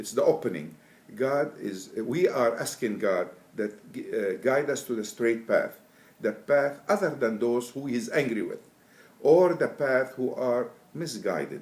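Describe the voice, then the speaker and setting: With an Arabic accent, a man talks at a medium pitch and a fairly slow pace. His intonation is lively. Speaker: Quran translator. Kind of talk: interview. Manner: halting.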